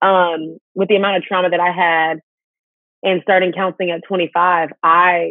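With an American accent, a woman speaks at a fairly low pitch against a quiet background, the sound dry with no echo. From Houston, Texas. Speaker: speaker and host; interview guest. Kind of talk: interview testimony. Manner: animated. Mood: earnest, personal story. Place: home room. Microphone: video call.

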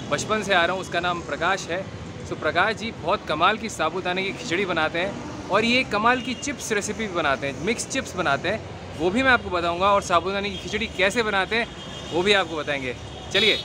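A man uses a raised, projected voice at a moderate pace with ordinary pitch variation and hardly any pauses, the sound dry with no echo amid noticeable background noise. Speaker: food vlogger. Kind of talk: casual vlog chat. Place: street. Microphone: phone near.

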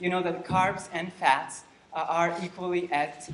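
Audible room echo is present, along with light background noise. A man does the talking. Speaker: lecturer. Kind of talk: lecture. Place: hall. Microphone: camera far.

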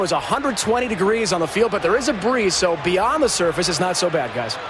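Over noticeable background noise, a man with a high pitch talks at a fairly quick pace with ordinary pitch variation, in a dry sound with no echo. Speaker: sideline reporter. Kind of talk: sideline reporting. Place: stadium. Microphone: handheld.

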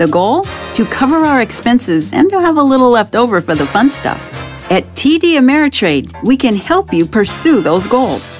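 Over music in the background, a woman with a fairly high pitch speaks with very wide pitch swings and very even loudness. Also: moderate pace. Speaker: voice actor. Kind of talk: corporate narration. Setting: studio.

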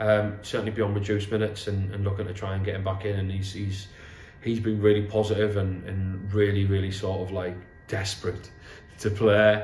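Fairly quick, monotone, flat speech from a man with a fairly low pitch, in audible room echo with music in the background. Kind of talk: interview answer. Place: home room.

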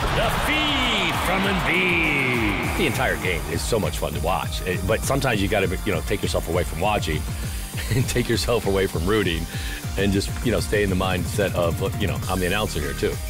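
Over clear background music, a man with a very deep, low pitch speaks with lively intonation in a dry sound with no echo. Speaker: arena public address announcer. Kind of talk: interview answer, casual talk about the job. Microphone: headset.

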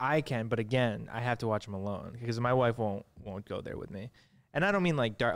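In a plain, everyday voice, a man talks at a fairly quick pace with medium pitch and ordinary pitch variation. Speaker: filmmaker, podcast co-host; podcast co-host. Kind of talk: casual interview. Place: studio. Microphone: studio mic.

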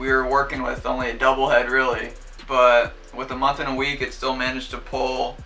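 A man's voice over faint background music. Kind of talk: casual vlog chat. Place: home room.

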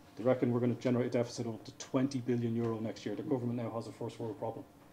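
A man with an Irish accent, very fast and monotone in flat intonation, over light background noise. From Ireland. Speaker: railway engineering director. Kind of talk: conference presentation. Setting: stage with audience. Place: hall.

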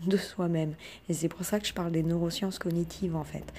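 A somewhat breathy woman's voice, fairly low in pitch and dark, mellow in tone, with fairly even intonation at a moderate pace. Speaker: self-taught researcher and online video creator. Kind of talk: monologue, personal video talk. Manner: hesitant, many fillers; humble, earnest.

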